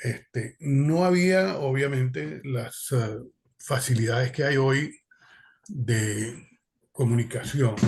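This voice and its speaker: Somewhat breathy, a man at medium pitch speaks very slowly with lively intonation. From Venezuela. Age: 70s. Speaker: exiled political activist. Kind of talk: panel discussion testimony. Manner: halting, many fillers.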